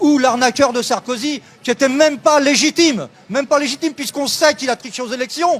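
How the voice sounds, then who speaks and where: A man speaks at an extremely high pitch. His tone is animated and his pace fairly quick. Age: 60s. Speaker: protester, retiree. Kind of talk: street interview. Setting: outdoors at a street protest.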